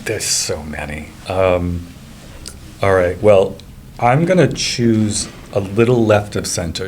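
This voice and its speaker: With a Rhode Island accent, a man speaks slowly-ish at a fairly low pitch and ordinary pitch variation, amid noticeable background noise and audible room echo. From Rhode Island, Cranston. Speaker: real estate agent. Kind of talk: casual chat.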